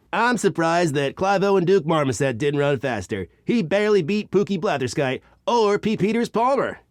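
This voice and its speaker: A man speaks in a put-on character voice, pitched high. His pace is moderate. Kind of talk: sports broadcast color commentary.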